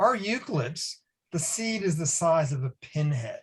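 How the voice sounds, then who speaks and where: Speaking at a fairly slow pace, a man with a North American accent uses lively intonation at a fairly high pitch. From US Northeast, Boston. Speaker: academic researcher. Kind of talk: webinar Q&A answer.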